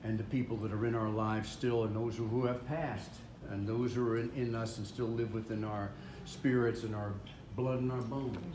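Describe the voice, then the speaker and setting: This man talks at a fairly quick pace in a flat, monotone delivery at a medium pitch, with noticeable background noise behind him. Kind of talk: emotional speech at family reunion. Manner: halting, hesitant.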